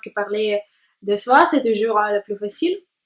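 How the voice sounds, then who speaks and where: A woman with a Russian accent, her pitch fairly high and her intonation fairly even. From Latvia, Jelgava. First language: Russian (speaking French). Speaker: language learner vlogger. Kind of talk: personal monologue to camera. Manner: halting, many hesitations.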